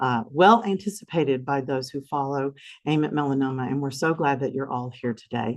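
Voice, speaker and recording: Against a quiet background, a woman with a Southern US accent talks at a moderate pace. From US South. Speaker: foundation representative hosting a symposium. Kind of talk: event opening remarks. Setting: conference room with audience, also streamed. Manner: gentle.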